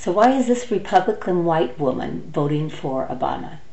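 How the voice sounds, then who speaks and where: An American accent with audible room echo and noticeable background noise. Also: woman. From United States. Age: 60s. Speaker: political vlogger. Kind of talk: opinion monologue. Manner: animated; halting.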